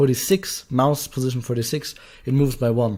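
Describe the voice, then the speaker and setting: A man's medium-pitched voice at a fairly quick pace, fairly even in intonation, on a very clean recording with a silent background. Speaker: game development tutorial YouTuber. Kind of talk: tutorial. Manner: halting, many fillers.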